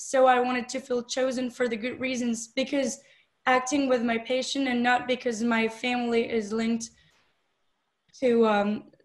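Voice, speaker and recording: High-pitched, a woman speaks with a French accent. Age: 20s. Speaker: film director and actress. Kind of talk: interview. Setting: video call. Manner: hesitant, many fillers.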